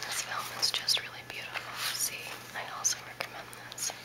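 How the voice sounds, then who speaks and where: Whispering and soft-spoken, the voice moves at a fairly quick pace. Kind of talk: casual unboxing commentary. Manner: soft ASMR whisper. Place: home room. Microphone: phone near.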